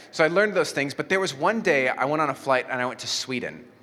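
The man talks at a very fast pace in a bright, sharp tone. Audible room echo surrounds his voice. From Mexico. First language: Spanish. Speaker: pastor. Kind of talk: sermon. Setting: church.

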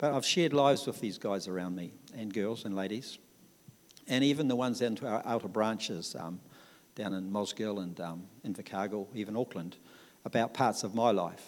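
Speaking at a fairly quick pace, a man with a New Zealand accent has a fairly low pitch and ordinary pitch variation. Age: 60s. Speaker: church member. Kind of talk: testimony. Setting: church. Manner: talkative.

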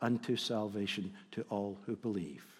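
The voice carries a Scottish accent. Its intonation is fairly even. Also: man. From Scotland. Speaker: visiting preacher. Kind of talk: sermon. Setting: church.

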